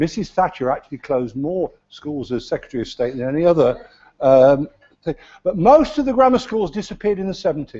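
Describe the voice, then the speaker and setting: A man with an East Midlands accent talks at a fairly quick pace. His high voice makes very wide pitch swings. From English Midlands, Leicester. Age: 70s. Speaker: county councillor, retired teacher. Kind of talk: council debate speech. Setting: council chamber. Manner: hesitant, repeats words.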